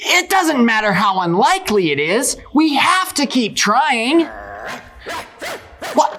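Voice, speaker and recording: A high, cartoonish character voice moves at a fairly slow pace with very wide pitch swings amid clear background noise. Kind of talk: puppet show performance. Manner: upbeat, determined.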